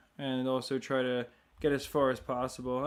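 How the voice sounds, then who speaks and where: In a very clean recording with a silent background, a soft-spoken man talks at a moderate pace and a medium pitch. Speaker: gaming livestreamer. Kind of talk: casual livestream commentary. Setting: live stream.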